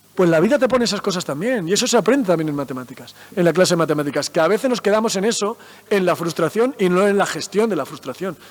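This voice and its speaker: The speaker rushes along at a very fast pace with hardly any pauses, using lively intonation and an animated tone over noticeable background noise. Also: man, high pitch for a man. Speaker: mathematician and science communicator. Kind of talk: talk to school students.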